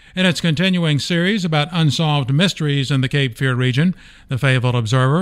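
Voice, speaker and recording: With a fairly high pitch and ordinary pitch variation, this man has an unremarkable speaking voice. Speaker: newspaper podcast host. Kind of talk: news-style podcast hosting and interview. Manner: formal, clear, newsreader-like.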